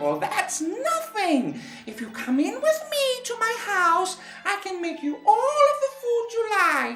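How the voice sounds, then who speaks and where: A fairly slow, put-on character voice at an extremely high pitch with very wide pitch swings, over clear background noise. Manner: sweet, coaxing, kindly.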